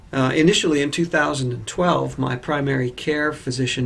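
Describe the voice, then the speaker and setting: A man at medium pitch, fairly quick in pace, with fairly even intonation. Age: 60s. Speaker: patient. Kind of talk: testimony. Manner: hesitant with fillers.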